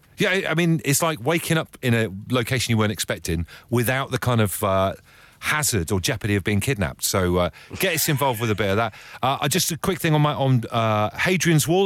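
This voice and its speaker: With a British accent, a man of medium pitch talks at a very fast pace, his voice swinging very widely in pitch and showing vocal fry. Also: very even loudness. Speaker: radio host. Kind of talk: casual chat. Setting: studio. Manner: animated.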